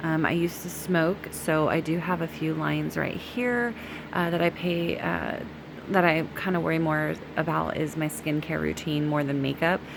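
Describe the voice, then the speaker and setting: A woman's moderately paced speech comes through noticeable background noise. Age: middle-aged. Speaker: beauty vlogger. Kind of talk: tutorial.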